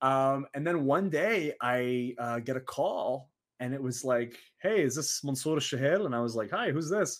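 A man with an American accent, fairly high pitch, ordinary pitch variation, an unremarkable speaking voice and a moderate pace. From Saudi Arabia. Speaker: professional wrestler. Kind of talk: casual interview.

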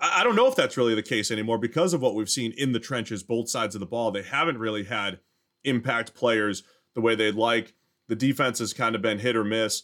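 A man talks at a fairly quick pace in a medium pitch, with fairly even intonation and an unremarkable speaking voice. The recording is very clean, with a silent background. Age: 40s. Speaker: NFL podcast host. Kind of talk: casual sports analysis chat.

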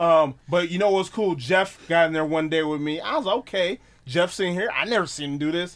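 An American accent marks this man's speech, delivered at a fairly quick pace. His pitch is high. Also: ordinary pitch variation. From Wisconsin, US Midwest. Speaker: pro wrestler and haunt scare actor. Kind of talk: casual chat. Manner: animated.

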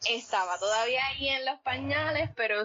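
Here is an ordinary speaking voice. The pace is moderate. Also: woman. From Puerto Rico, Coamo. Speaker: poet. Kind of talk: interview conversation. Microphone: line issues during recording.

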